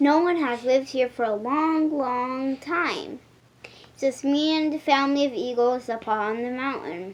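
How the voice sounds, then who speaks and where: A woman's put-on character voice, squeaky and high-pitched, at a moderate pace. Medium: read story. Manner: friendly.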